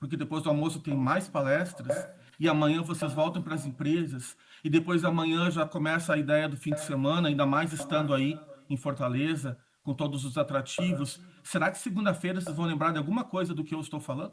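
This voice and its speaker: Fairly high in pitch, a man speaks fairly quickly with fairly even intonation. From southern Brazil (Rio Grande do Sul). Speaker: communication consultant and speaker. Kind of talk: conference talk. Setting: auditorium stage with audience, also streamed online.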